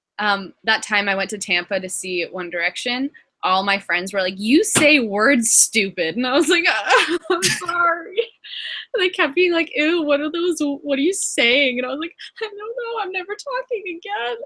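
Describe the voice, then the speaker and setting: An animated, raised and projected voice swings very widely in pitch. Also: woman, high pitch for a woman, moderate pace. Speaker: guest on a live stream chat. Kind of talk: casual chat.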